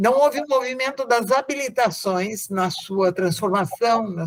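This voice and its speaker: Her intonation is lively. The woman's pitch sits fairly high. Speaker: professor. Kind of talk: interview. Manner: formal.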